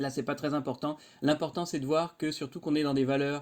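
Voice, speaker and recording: A man's dark, mellow tone at a fairly quick pace, on a very clean recording with a silent background. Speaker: university lecturer. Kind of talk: lecture. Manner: fast; casual.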